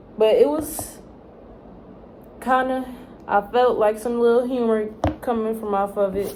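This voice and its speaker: A woman talks with ordinary pitch variation while noticeable background noise plays. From Texas. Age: young. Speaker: college student. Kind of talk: casual talk to camera. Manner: rambling.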